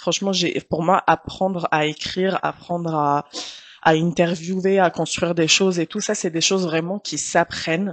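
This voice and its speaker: A woman speaks in an Arabic accent at a fairly slow pace, her pitch fairly low. Her intonation is monotone and flat, and the sound is dry and close with no echo. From Tunisia. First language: Arabic (speaking French). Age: 30s. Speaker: journalist. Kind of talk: casual interview.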